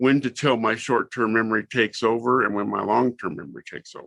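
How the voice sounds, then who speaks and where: Over a quiet background, a man with a bright, sharp tone and vocal fry talks at a fairly quick pace and medium pitch. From Southern California. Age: 60s. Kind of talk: interview.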